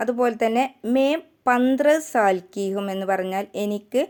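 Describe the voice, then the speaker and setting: Lively intonation in a dark, mellow tone, recorded very cleanly against a silent background. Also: woman. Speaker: language teacher. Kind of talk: tutorial.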